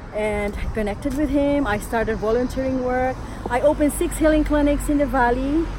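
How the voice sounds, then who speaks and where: Through noticeable background noise, a woman with a high pitch talks at a fairly quick pace with ordinary pitch variation. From Philippines. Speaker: energy healing instructor. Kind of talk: motivational talk.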